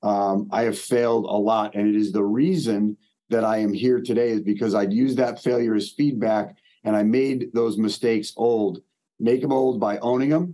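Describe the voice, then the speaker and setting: A man's dark, mellow voice with an American accent and ordinary pitch variation. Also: medium pitch for a man, moderate pace. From US Northeast, Maine. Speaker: mental performance coach. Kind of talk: casual interview.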